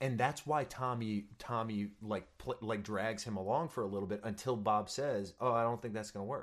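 At a moderate pace and with hardly any pauses, an unremarkable speaking voice delivers lines in fairly even intonation. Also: man, medium pitch for a man. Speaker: stage actor. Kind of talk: casual chat. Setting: video call.

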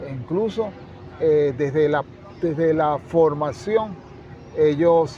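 Someone speaks at a very slow pace with ordinary pitch variation while crowd noise fills the background. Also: man. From Venezuela, La Victoria, Aragua. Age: 60s. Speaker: educator and author. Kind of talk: interview. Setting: book fair.

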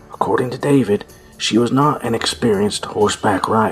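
Over background music, a man delivers a dramatic tone at a moderate pace, his medium-pitched voice showing ordinary pitch variation. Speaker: true crime podcaster. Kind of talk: true-crime narration retelling a case, with sarcastic asides. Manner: animated, sarcastic, and irreverent, swearing in asides; dramatic, storyteller pacing.

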